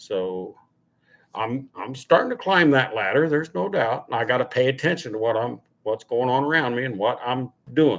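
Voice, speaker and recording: A man with a plain, everyday voice speaks at a moderate pace. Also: medium pitch for a man, ordinary pitch variation. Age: 60s. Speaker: car channel host. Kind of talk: casual livestream chat. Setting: live stream at home.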